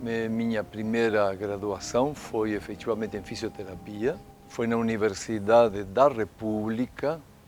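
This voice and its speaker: A man speaks at a fairly slow pace with a fairly low pitch. His intonation stays fairly even over noticeable background noise. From Uruguay–Brazil border. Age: 70s. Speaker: physiotherapist and university professor. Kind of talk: documentary interview.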